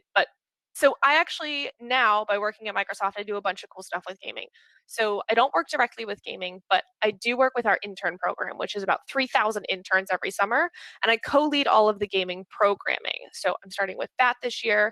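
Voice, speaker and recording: Animated and bright with a sharp tone, the voice moves at a fairly quick pace with big swings in loudness, in a dry, close sound with no echo. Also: woman, fairly high pitch for a woman, ordinary pitch variation. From Pittsburgh, Pennsylvania, US. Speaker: speaker at a community talk event, recruiter and gamer. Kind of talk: presentation talk. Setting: video call. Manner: fast.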